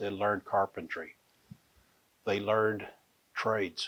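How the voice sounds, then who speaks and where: In a Texan accent, a man speaks at a moderate pace with a fairly low pitch and relaxed tone on a very clean recording with a silent background. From Fort Worth, Texas. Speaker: Comanche storyteller. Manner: relaxed, conversational.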